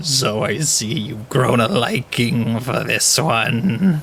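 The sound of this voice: The speaker uses a put-on character voice at a very slow pace. Background noise is clearly heard. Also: man, medium pitch for a man.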